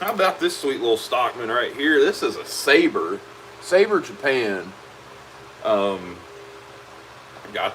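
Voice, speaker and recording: At a fairly slow pace, a man speaks in a relaxed tone over noticeable background noise. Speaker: leatherworker. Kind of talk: live stream chat while working. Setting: workshop. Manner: loud; casual, relaxed.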